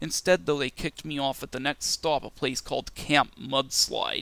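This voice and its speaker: Bright and sharp in tone, a fairly high-pitched man speaks at a fairly quick pace with vocal fry and ordinary pitch variation. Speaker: interview guest, indie rapper. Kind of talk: interview, recounting a dream. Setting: podcast recording.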